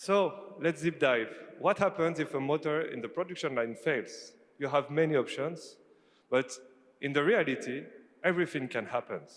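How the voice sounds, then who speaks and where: At a moderate pace, a man talks in a French accent. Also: fairly high pitch for a man, ordinary pitch variation. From France. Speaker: company CEO. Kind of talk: conference presentation. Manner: animated; halting.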